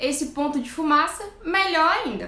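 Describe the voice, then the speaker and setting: Her voice is raised and projected, with a bright, sharp, animated tone and lively intonation. The woman speaks at a fairly slow pace amid audible room echo. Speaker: nutritionist. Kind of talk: live stream talk.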